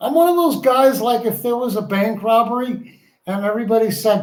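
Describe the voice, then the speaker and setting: A man talks at a moderate pace in a high pitch. Audible room echo is present. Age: 60s. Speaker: co-host, partner of the streamer. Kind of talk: casual chat.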